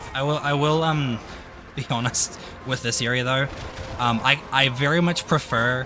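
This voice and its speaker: Over noticeable background noise, a man of medium pitch talks at a moderate pace with fairly even intonation and long, frequent pauses. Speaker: gaming streamer. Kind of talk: casual gameplay stream chat. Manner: mumbling.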